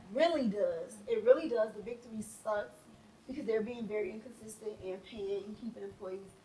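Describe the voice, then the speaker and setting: A woman with a fairly high pitch sounds animated, her loudness swinging widely and her pitch varying in an ordinary way, while noticeable background noise plays behind her. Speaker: podcast co-host, small beauty business owner. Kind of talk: casual chat. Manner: fast.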